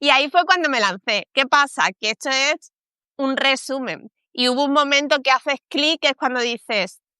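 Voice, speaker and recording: In a Spanish accent, a woman uses a raised, projected voice with a bright, sharp tone and high pitch, ordinary pitch variation and a moderate pace, recorded with a dry, close sound with no echo against a quiet background. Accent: Spanish (Spain). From Spain. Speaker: communications professional. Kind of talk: interview. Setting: live stream.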